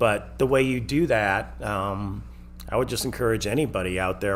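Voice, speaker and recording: With audible room echo, a man talks at a moderate pace in a fairly low pitch, his intonation lively. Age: 60s. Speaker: restaurant owner. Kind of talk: casual chat.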